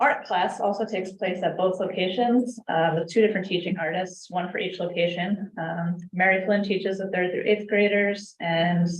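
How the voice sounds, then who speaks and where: Audible room echo surrounds a woman speaking in a flat monotone. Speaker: youth program director. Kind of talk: department report at council meeting. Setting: city council meeting.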